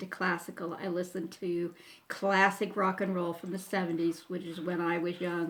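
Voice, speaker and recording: A moderate pace and monotone, flat intonation with an American accent. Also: woman. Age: 60s. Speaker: YouTuber. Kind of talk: casual Q&A talk to camera. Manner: hesitant, with many fillers.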